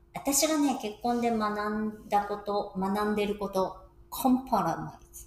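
With noticeable background noise around her, a woman with a fairly high pitch talks at a fairly slow pace, her pitch varying in an ordinary way while her loudness swings widely. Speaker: podcast co-host. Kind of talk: casual chat.

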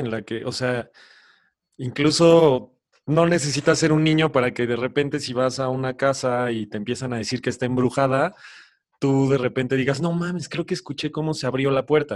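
The background is quiet as a man talks at a fairly quick pace. His fairly high pitch shows ordinary variation. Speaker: podcast co-host. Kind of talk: casual chat.

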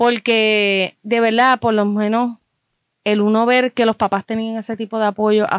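On a very clean recording with a silent background, a woman with a fairly high voice speaks in a flat monotone, the sound dry and close with no echo. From Puerto Rico. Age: 30s. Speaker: fan club member. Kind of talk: casual chat.

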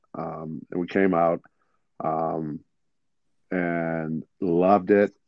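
Very deep and low, a man's voice moves at a very slow pace with an American accent. His intonation stays monotone and flat. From Detroit, Michigan. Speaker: basketball coach and former player. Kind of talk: interview.

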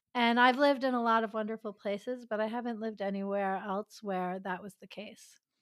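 A woman with a normal speaking voice and an American accent talks at a fairly quick pace with hardly any pauses, in a fairly high pitch with fairly even intonation and big swings in loudness, on a very clean recording with a silent background and a dry, close sound with no echo. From New York City suburbs. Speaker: relationship expert and former physician. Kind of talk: interview.

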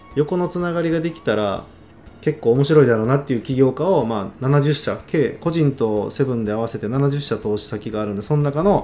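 At a fairly quick pace, a man with a dark, mellow tone speaks at a fairly high pitch with lively intonation. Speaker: startup founder and angel investor. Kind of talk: casual mentoring chat.

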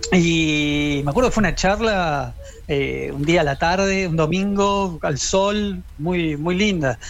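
This man speaks with a Rioplatense accent at a very slow pace. His pitch is high, with ordinary variation. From Quilmes, Buenos Aires, Argentina. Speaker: rock journalist. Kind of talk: interview.

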